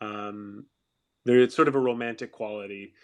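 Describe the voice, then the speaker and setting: A man with a Canadian accent speaks at a medium pitch and a moderate pace. His intonation is monotone and flat, over a quiet background. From Alberta, Canada. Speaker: actor. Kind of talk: casual chat. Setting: online audio room. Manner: halting; projecting more than usual.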